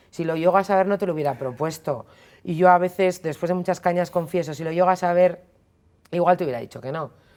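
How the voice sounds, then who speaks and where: Speaking at a very fast pace, a woman uses a fairly low pitch with big swings in loudness. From Spain, Basque Country (Basauri, Biscay). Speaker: feminist commentator. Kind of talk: interview. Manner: casual, animated.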